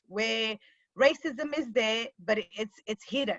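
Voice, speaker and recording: In a Zimbabwean accent, the voice has a bright, sharp tone at a fairly slow pace. Pitch variation is ordinary, and the sound is dry and close with no echo. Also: woman. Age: 30s. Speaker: panelist and lawyer. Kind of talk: personal testimony in panel discussion. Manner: halting, with many fillers.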